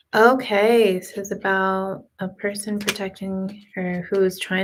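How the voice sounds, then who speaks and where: A woman is whispering. The recording is very clean, with a silent background. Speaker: tarot card reader streamer. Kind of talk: live stream tarot reading. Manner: casual.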